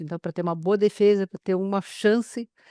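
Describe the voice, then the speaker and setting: In a quiet background, a woman speaks at a medium pitch. Her intonation is fairly even. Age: 60s. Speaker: lawyer, webinar presenter. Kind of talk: webinar introduction. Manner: hesitant, many fillers.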